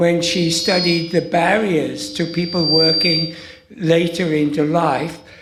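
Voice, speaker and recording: Amid noticeable background noise and audible room echo, a man speaks very slowly in a high voice. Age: 70s. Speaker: audience member. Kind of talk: audience question.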